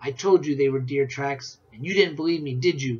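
A man puts on a shrill character voice with a fairly high pitch. He talks at a moderate pace. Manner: excited whisper.

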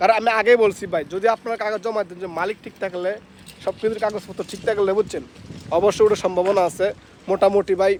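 Fairly even in intonation yet swinging widely in loudness, a man speaks in a high pitch. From Bangladesh, Comilla. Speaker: migrant worker vlogger. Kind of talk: casual vlog.

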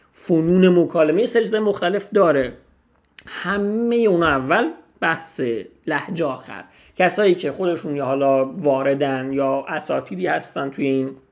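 Fairly slow, fairly high-pitched speech from a man against a quiet background. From Iran. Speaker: language teacher. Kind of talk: tutorial. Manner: casual. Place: home room. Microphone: studio mic.

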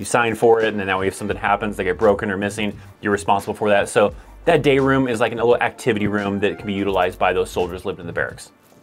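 Very fast and fairly low-pitched, a man speaks with ordinary pitch variation while faint music sits in the background. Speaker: army life video creator. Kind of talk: explanatory vlog talk. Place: home room.

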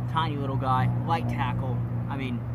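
Loud music plays in the background while a man speaks at a slow pace. His intonation stays fairly even.

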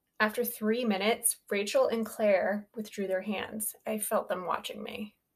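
Reading aloud, plain

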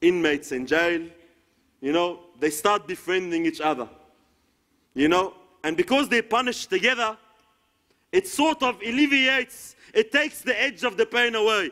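A man with an Arabic accent speaks at a moderate pace in a raised, projected voice, high in pitch, with a bright, sharp tone. His intonation is lively against a quiet background. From Egypt. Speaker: Islamic preacher. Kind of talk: sermon. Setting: lecture hall with audience. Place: hall.

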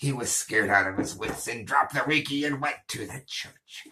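A man's put-on character voice, medium in pitch and menacing in tone. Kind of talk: comedy news reading. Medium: role play. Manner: menacing, mocking.

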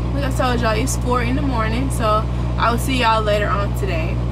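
Through loud background noise, a woman talks at a very fast pace. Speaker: truck driver vlogger. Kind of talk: casual vlog chat. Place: car. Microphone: camera far.

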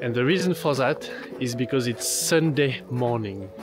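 Clear music plays in the background. A man talks at a moderate pace, with dry sound and no echo. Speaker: travel vlogger. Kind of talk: casual vlog chat. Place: street. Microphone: phone near.

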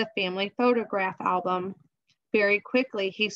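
Over a quiet background, a natural reading voice is heard.

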